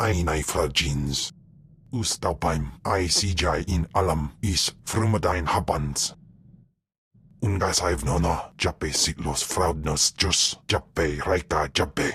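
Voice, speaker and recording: A man's put-on character voice, very deep and low, fairly slow, with ordinary pitch variation. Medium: video game. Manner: speaks only an alien language.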